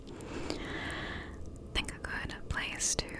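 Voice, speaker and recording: Someone female is whispering here; it is a woman. Noticeable background noise runs underneath. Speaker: ASMR creator. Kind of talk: casual talk to camera. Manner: soft-spoken, whispered.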